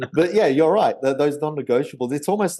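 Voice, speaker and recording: The voice has a dark, mellow tone with an Australian accent. Its intonation is lively. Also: man. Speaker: memory trainer and podcast host. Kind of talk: casual chat.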